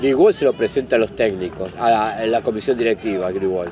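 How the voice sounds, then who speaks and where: A man with an Argentine accent at a moderate pace, with very wide pitch swings and noticeable background noise. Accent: Rioplatense Argentine Spanish. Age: 60s. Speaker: football club historian and fan. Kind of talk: interview. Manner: halting.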